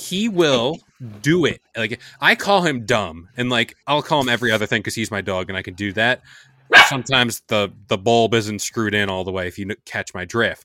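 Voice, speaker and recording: A man's medium-pitched voice, bright and sharp in tone, with lively intonation at a moderate pace. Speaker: podcast host. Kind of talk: casual podcast chat. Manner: joking, banter.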